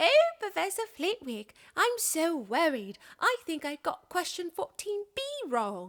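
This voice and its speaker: A woman performs a put-on character voice at an extremely high pitch, raised and projected. Her pitch swings very widely, and she speaks at a fairly slow pace. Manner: mocking, worried.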